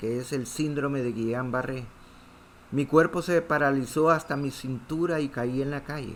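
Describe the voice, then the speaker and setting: This man has an unremarkable speaking voice, fairly high in pitch, with fairly even intonation. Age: 60s. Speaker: pastor. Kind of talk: sermon.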